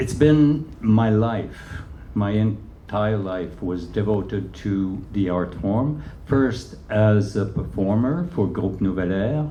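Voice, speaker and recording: In a Quebec accent, a man speaks at a very slow pace with lively intonation and a fairly low pitch. Room echo is audible. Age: 70s. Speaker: choreographer and dancer. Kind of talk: onstage interview. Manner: halting, many fillers.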